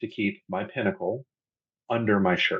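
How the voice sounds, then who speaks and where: This man's voice is somewhat breathy, and he speaks at a fairly quick pace. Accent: American. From US South. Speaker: podcast guest, pagan. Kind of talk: casual interview chat. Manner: rambling, conversational.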